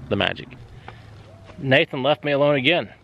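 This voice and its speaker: A man with an American accent talks at a fairly quick pace. His fairly high voice carries vocal fry. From southern Ohio. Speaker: sawmill and excavation channel host. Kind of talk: casual vlog talk.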